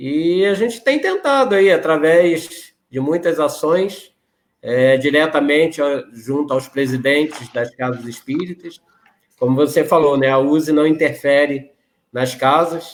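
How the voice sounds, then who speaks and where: A man's pitch varies in an ordinary way as he speaks fairly slowly. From Rio de Janeiro, Brazil. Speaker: regional spiritist association president. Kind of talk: interview conversation.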